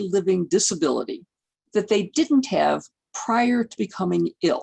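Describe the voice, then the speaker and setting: A woman at medium pitch with a dark, mellow tone and vocal fry, moderate pace, dry and close sound with no echo. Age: 70s. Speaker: geriatrics physician and lecturer. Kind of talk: lecture. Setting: video call. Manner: conversational.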